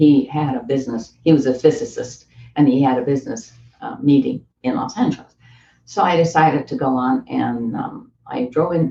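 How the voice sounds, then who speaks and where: Speaking at a moderate pace in a Canadian accent, a woman uses a very deep, low voice with very wide pitch swings, a somewhat breathy quality and a dark, mellow tone. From East coast of Canada. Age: 80s+. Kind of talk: interview answer. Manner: conversational.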